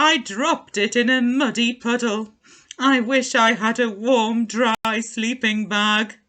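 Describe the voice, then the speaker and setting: A woman puts on a character voice, her pitch fairly high and her delivery fairly slow. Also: quiet background. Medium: read story.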